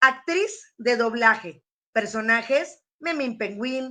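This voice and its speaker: A woman speaks very slowly in a high, bright, sharp voice with lively intonation. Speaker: radio announcer. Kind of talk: interview host.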